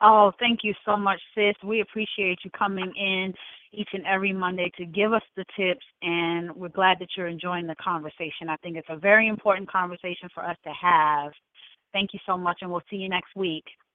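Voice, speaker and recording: Delivered at a moderate pace with a normal speaking voice. The intonation stays fairly even. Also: woman, medium pitch for a woman. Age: 40s. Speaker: radio host. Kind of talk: interview.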